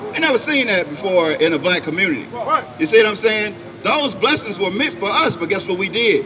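A raised, projected voice at a fairly quick pace, with very wide pitch swings and noticeable background noise. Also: man, high pitch for a man. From Memphis, Tennessee; Tennessee. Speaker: street preacher. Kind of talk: street preaching with scripture reading. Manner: animated. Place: street. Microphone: handheld.

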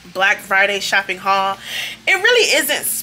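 Music plays behind a woman who talks at a moderate pace, her pitch varying in an ordinary way. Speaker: haul vlogger. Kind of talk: casual vlog chat. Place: home room. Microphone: phone near.

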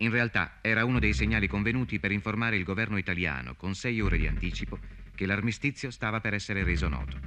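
Speaking very fast, a man with a fairly low pitch, bright, sharp tone, vocal fry and lively intonation keeps his loudness very even. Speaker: documentary narrator. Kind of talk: scripted documentary narration.

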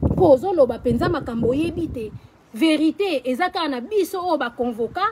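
A woman speaks at a moderate pace with a high pitch and lively intonation. Noticeable background noise runs underneath. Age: 40s. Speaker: social media personality; vlogger. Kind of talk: personal video rant. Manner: animated. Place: garden.

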